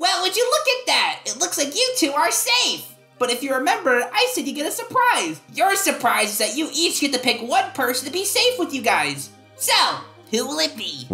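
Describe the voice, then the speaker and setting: A put-on character voice pitched high moves at a moderate pace. Faint music plays in the background. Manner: brash, impatient, cheerful.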